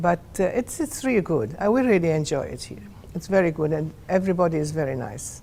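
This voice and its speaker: In a Maltese accent, the voice moves at a fairly quick pace with very wide pitch swings and big swings in loudness. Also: woman, fairly low pitch for a woman. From Malta. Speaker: Maltese immigrant. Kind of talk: personal testimony interview. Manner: halting.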